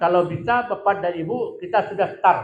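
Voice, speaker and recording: A loud man with high pitch and lively intonation speaks at a fairly slow pace, with room echo audible. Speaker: hajj pilgrimage guide. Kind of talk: lecture.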